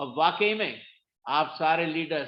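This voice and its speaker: A man talks with ordinary pitch variation. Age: 60s. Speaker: motivational speaker at network marketing meeting. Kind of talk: motivational talk. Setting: video call. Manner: animated.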